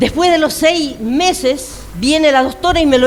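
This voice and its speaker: A woman's high voice with ordinary pitch variation, plus noticeable background noise and audible room echo. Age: 60s. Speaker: pastor. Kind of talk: sermon.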